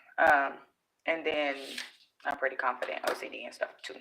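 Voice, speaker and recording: A woman's voice has a bright, sharp tone. Her pace is moderate. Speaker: vlogger. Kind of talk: casual vlog talk to viewers. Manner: nervous, scattered.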